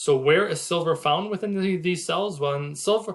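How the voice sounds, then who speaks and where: This man keeps a moderate pace, his pitch varying in an ordinary way. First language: French. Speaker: investment commentator. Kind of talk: presentation reading slides with commentary. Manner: halting with many fillers.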